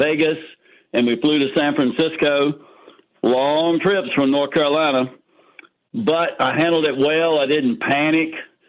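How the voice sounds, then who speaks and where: With ordinary pitch variation and a moderate pace, this is a plain, everyday voice. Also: man. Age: 60s. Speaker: testimonial giver on sales call. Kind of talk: testimony.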